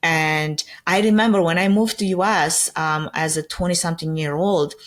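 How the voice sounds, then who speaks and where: Speaking with a Romanian accent, a woman with a fairly low pitch keeps a moderate pace and ordinary pitch variation. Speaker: event production company founder. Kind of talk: podcast interview. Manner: conversational, uses fillers like 'like' and 'um'.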